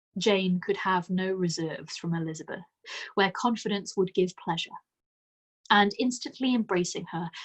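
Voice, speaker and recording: Somewhat breathy, a woman talks at a moderate pace and medium pitch with ordinary pitch variation. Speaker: audiobook narrator. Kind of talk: classic novel read aloud.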